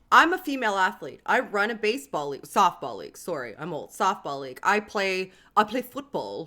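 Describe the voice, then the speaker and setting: A woman speaks at a fairly quick pace with hardly any pauses, vocal fry and very wide pitch swings. Her tone is bright, sharp and animated. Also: medium pitch for a woman. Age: 30s. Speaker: YouTube host. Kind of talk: casual chat. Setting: livestream video call.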